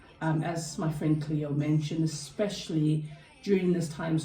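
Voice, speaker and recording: With a South African accent, a woman speaks at a very deep, low pitch and moderate pace in monotone, flat intonation, amid noticeable background noise and audible room echo. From South Africa, Cape Town. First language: Afrikaans. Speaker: health and wellbeing chat host. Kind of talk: casual chat.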